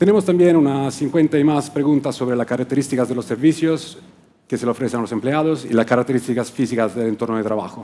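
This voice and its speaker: A man with an Italian accent, a dark, mellow tone at a medium pitch, ordinary pitch variation, and a very fast pace. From Italy, Rome. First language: Italian (speaking Spanish). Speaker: client service director at a workplace research firm. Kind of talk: conference talk. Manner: occasional hesitations and restarts.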